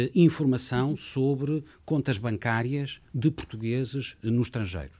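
A man with a plain, everyday voice speaks at a fairly slow pace with ordinary pitch variation, recorded very cleanly against a silent background. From Portugal, Lisbon. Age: 50s. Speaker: lawyer and former government official. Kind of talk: interview.

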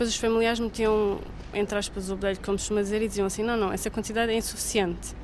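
A woman's rather high voice, flat and monotone throughout. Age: 30s. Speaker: mother. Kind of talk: testimony.

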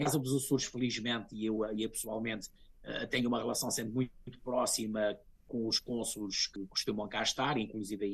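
With monotone, flat intonation, a man speaks at a fairly quick pace. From Azores, São Miguel. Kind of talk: interview.

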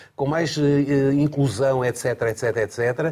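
A man's voice sits fairly high. There is some breathiness to it. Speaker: former Olympic athlete and association president. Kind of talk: panel discussion. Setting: studio.

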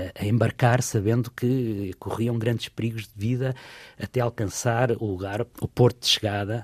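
A man's somewhat breathy voice has a dark, mellow tone and fairly even intonation. The recording is very clean, with a silent background and a dry, close sound with no echo. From Portugal. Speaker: travel writer and tour guide. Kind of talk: radio interview.

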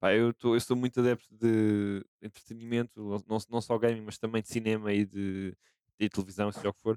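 A dark, mellow tone comes through in a monotone, flat delivery. The sound is dry and close, with no echo. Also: man, fairly low pitch for a man, moderate pace. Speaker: gaming content team member. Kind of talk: casual chat.

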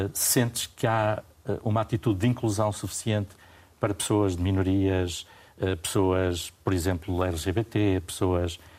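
The speech moves at a fairly slow pace with fairly even intonation, captured in a very clean recording against a silent background. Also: man. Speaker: journalist and radio/TV debate host. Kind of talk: moderated panel discussion. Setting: studio.

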